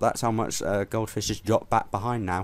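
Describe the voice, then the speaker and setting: A man with a fairly low pitch and fairly even intonation uses a normal speaking voice in a very clean recording with a silent background. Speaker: race commentator. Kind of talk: live race commentary for a sim racing league, casual and conversational. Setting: commentary box. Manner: measured, conversational, pausing with frequent fillers.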